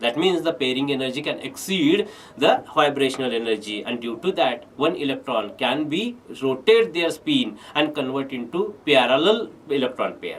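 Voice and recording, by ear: A man with a medium pitch talks at a moderate pace with few pauses and big pitch swings.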